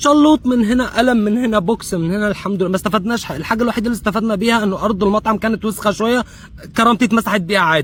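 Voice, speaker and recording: A man with a Syrian accent speaks at a high pitch and a very fast pace, with hardly any pauses and ordinary pitch variation. Noticeable background noise runs under his voice. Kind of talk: comedic personal anecdote.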